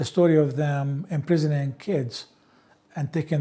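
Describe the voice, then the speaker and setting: A man with an Arabic accent, his tone dark and mellow and somewhat breathy. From Palestine, Ramallah. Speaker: interviewee sharing life history. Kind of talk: oral history interview.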